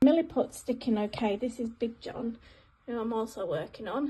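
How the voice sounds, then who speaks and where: Speaking in an English accent, a woman uses a high pitch and a dark, mellow tone, with ordinary pitch variation at a moderate pace. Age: 40s. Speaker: hobby crafter restoring a gnome. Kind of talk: casual video diary.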